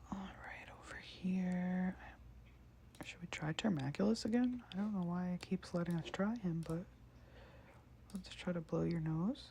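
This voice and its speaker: A soft-spoken, somewhat breathy voice with a dark, mellow tone speaks at a fairly slow pace, with ordinary pitch variation and long, frequent pauses. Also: woman, medium pitch for a woman. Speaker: ASMR creator. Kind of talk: ASMR let's play, casual talk.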